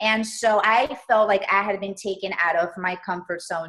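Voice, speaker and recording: Speaking with a Spanish accent, a woman uses a medium pitch and fairly even intonation. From Colombia, moved to US at eight. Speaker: entrepreneur and stylist. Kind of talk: interview.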